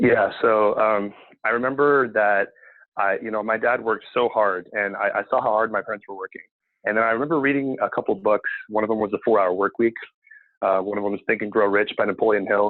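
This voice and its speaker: A man speaks at a fairly quick pace with a West Coast accent. His pitch is fairly low and his intonation fairly even. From Seattle, US Pacific Northwest. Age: 20s. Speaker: cleaning business owner. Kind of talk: podcast interview. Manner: many fillers, hesitant.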